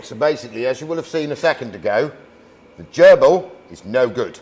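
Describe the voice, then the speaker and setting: A man speaks with a British accent over noticeable background noise. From England. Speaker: YouTube vehicle restorer. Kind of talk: casual chat. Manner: loud.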